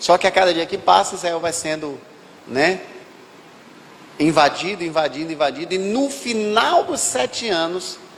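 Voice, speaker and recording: High male voice with lively intonation, a fairly slow pace and long, frequent pauses over noticeable background noise. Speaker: pastor. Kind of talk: sermon.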